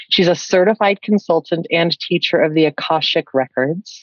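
A woman's fairly low voice at a fairly slow pace, dry with no echo, over a quiet background. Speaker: podcast host. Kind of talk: interview. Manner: animated. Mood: warm, smiling. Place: home room. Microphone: studio mic.

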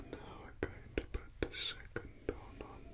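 A soft-spoken man is whispering. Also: fairly slow pace. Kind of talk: soft-spoken roleplay talk to viewer. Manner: soft close whisper.

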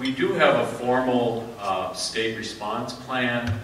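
A man's voice carries audible room echo, with light background noise underneath. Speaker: conference presenter. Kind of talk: lecture. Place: hall. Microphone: camera far.

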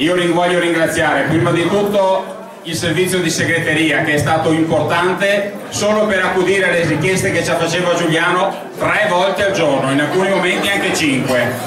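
A man's high pitch and fairly even intonation at a moderate pace, with noticeable background noise and audible room echo. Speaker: event presenter. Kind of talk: event presentation. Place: hall.

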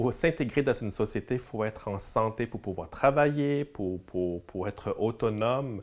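Against a quiet background, a man at a medium pitch speaks with ordinary pitch variation. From Quebec, Montreal. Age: 40s. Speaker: community worker. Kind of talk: interview; interview answer. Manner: halting. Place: meeting room. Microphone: lapel.

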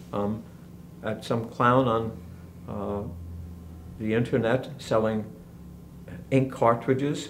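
A man talks at a very slow pace, his intonation fairly even. Long, frequent pauses break his speech, with light background noise behind him. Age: 70s. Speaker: teacher leading an emotional-wellbeing class. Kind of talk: lecture. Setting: classroom. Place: home room. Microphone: camera far.

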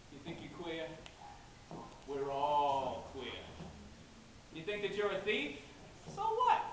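The speech moves at a very slow pace with long, frequent pauses and ordinary pitch variation, amid light background noise and audible room echo. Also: man, fairly high pitch for a man. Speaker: student actor. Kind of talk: theatrical monologue. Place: stage. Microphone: camera far.

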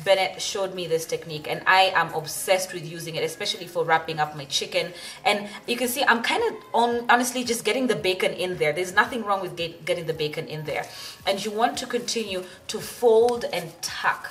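With light background noise behind her, a woman talks at a fairly quick pace with ordinary pitch variation. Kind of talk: tutorial. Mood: enthusiastic, delighted. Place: kitchen.

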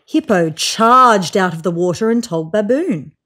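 With a fairly bright tone, a woman speaks at medium pitch and a fairly slow pace, her intonation lively.

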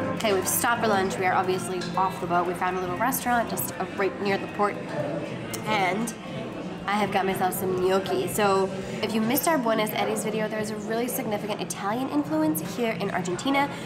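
A woman talks fairly quickly while clear music runs behind her. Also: ordinary pitch variation. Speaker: travel vlogger. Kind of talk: casual vlog chat. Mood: cheerful, enthusiastic. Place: cafe. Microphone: phone near.

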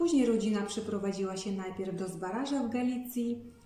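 A woman's voice carries audible room echo. Her pitch variation is ordinary. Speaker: narrator of local history. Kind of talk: talk to camera on a poet's life. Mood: calm, earnest. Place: home room. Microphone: phone near.

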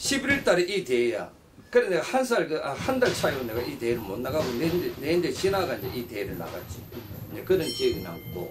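A man keeps a moderate pace while noticeable background noise plays behind him. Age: 60s. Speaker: retired pro boxer and boxing gym owner. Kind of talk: interview. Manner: halting. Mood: nostalgic, animated storytelling. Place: office.

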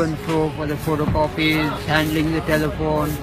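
Clear music sits in the background. Over it, a man talks at a moderate pace. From Lahore, Pakistan. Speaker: street interviewee. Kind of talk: interview answer. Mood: earnest, sad life story. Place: street. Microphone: phone near.

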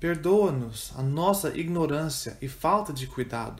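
Somewhat breathy and fairly high-pitched, a man speaks in a solemn tone at a fairly slow pace with ordinary pitch variation. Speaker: prayer reader. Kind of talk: fervent prayer, read aloud as a communal intercession. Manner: solemn, earnest, slow and reverent, with pleading intensity.

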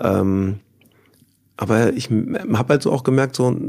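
With lively intonation, a man talks at a medium pitch in a dark, mellow tone. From Germany, Bonn (Rhineland). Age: 40s. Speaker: former professional footballer. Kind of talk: casual interview. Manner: hesitant, many fillers.

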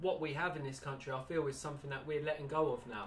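A man with an English accent, fairly high in pitch, fairly quick in pace and fairly even in intonation. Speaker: slingshot band maker. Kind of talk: casual interview. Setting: workshop.

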